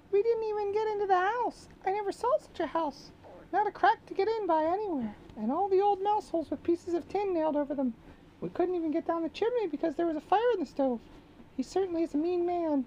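A put-on character voice, squeaky and extremely high, races along at a very fast pace over clear background noise. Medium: read story.

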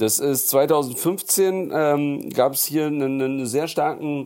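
At a very slow pace, this voice carries a dark, mellow tone with ordinary pitch variation. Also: man. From Berlin, Neukölln. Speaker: political activist. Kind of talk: interview.

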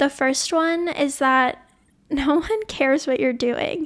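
A woman with an American accent speaks in a high pitch. The recording is very clean, with a silent background. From US South, New Orleans, Louisiana. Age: 20s. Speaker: podcast host, college student. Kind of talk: solo personal podcast monologue.

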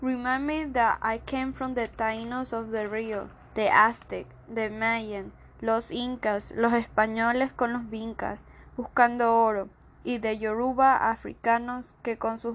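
Monotone, flat intonation at a moderate pace. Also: woman. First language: Spanish. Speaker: spoken word poet. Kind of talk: spoken word poetry performance.

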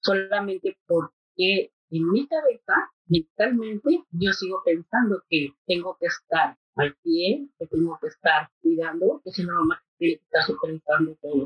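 Somewhat breathy and at medium pitch, a woman speaks at a fairly slow pace with hardly any pauses and very wide pitch swings. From Mexico City. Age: 50s. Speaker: mental health navigator. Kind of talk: casual interview. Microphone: poor audio quality.

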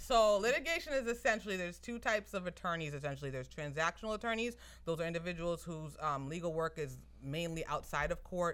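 Animated in tone, a woman with an American accent talks at a very fast pace and a fairly low pitch. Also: lively intonation. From Somerville, Massachusetts. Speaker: attorney and entrepreneur. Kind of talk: casual chat.

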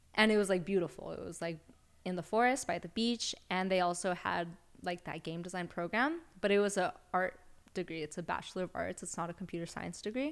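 A normal speaking voice, captured very cleanly against total silence. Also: woman, medium pitch for a woman, ordinary pitch variation, fairly quick pace. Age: 20s. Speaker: tattoo artist. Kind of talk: casual chat.

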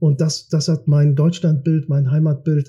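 A man's very slow, somewhat breathy delivery at a fairly high pitch, dark and mellow in tone, with monotone, flat intonation. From Kiel, northern Germany. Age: 40s. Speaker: politician. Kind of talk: interview. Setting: studio.

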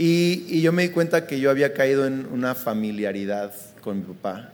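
A man talks with an unremarkable speaking voice. His pitch is fairly high and his intonation lively. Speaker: pastor. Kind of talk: live podcast conversation. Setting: live recording at a conference.

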